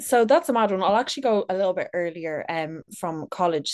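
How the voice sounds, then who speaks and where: A woman with a Dublin accent, medium pitch, ordinary pitch variation, moderate pace and a quiet background. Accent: Dublin Irish. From Ireland, Dublin. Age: 30s. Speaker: content creator. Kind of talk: casual chat.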